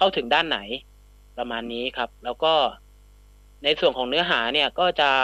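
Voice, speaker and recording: Bright and sharp in tone, a man speaks at a fairly high pitch with ordinary pitch variation in a dry, close sound with no echo. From Southern Thailand, Phatthalung. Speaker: journalist and content creator. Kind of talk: radio interview.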